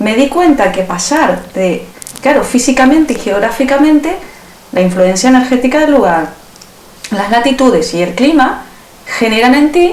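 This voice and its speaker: A woman speaks at a high pitch with very wide pitch swings and a moderate pace, leaving long, frequent pauses. Audible room echo and noticeable background noise fill the recording. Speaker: self-healing method teacher. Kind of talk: interview.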